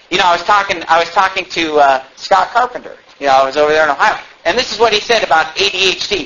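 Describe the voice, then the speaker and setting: Against noticeable background noise, a high-pitched man speaks at a very fast pace with ordinary pitch variation. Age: 20s. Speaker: pastor. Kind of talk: sermon. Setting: church.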